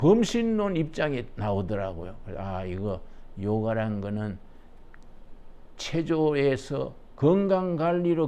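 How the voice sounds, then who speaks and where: A man speaks at a very slow pace in a dark, mellow tone. His pitch swings very widely, and room echo is audible. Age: 80s+. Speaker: pastor. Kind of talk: lecture. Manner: conversational, folksy.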